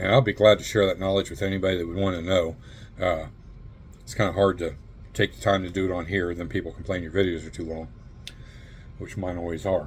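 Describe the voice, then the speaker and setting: A man speaks very fast in a very deep, low, somewhat breathy voice with fairly even intonation. His loudness swings widely, and he leaves long, frequent pauses. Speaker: model car builder. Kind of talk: tutorial. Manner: casual with many fillers.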